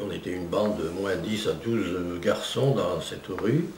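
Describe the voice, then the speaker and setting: A man's voice rises and falls in an ordinary way, with noticeable noise behind him. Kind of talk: interview answer.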